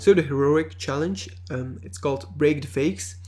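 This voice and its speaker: A man's somewhat breathy, fairly low voice at a fairly slow pace, with very wide pitch swings. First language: not English. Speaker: video game reviewer. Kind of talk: gameplay commentary. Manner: halting, many fillers.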